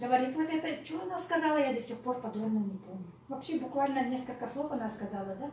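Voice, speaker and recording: A woman's high-pitched voice, lively in intonation and at a fairly quick pace, with audible room echo and noticeable background noise. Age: 60s. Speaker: network marketing speaker, former pediatrician. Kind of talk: live presentation to audience. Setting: in-person meeting with audience.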